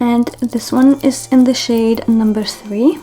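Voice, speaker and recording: A woman with a non-native accent speaks at a moderate pace with fairly high pitch and ordinary pitch variation. Noticeable background noise is present. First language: not English. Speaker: beauty vlogger. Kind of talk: makeup tutorial, casual chat. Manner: casual, chatty.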